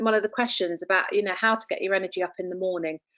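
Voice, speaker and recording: The pitch of this voice is medium. It belongs to a woman. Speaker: professor and resilience trainer. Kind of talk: webinar presentation. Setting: online webinar. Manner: fast.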